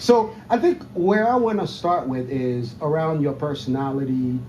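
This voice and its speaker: The speaker has a Haitian accent and lively intonation at a moderate pace. Audible room echo and noticeable background noise fill the recording. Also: man. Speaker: golf podcast host. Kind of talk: casual interview. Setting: outdoor patio at a country club.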